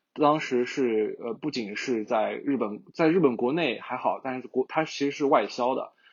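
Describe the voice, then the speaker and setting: Using a plain, everyday voice, a man talks at a moderate pace with medium pitch and ordinary pitch variation. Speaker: advertising professional. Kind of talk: casual podcast discussion.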